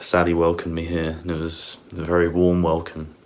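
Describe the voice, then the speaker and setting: The man's pitch is very deep and low, his intonation monotone and flat. Noticeable background noise runs underneath. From south-east London, England. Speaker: golfer and vlogger. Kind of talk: casual vlog.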